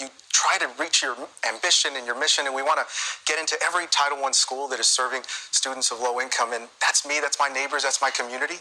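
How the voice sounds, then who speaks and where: Amid noticeable background noise, a man with an American accent talks at a fairly quick pace, his pitch fairly high and his intonation fairly even. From US. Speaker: nonprofit executive. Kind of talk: TV interview.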